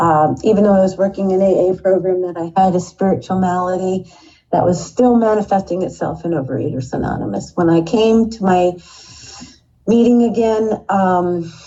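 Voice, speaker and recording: Her medium-pitched voice moves at a moderate pace, and this woman uses ordinary pitch variation. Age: 60s. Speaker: recovery meeting member sharing story. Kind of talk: testimony. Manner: halting.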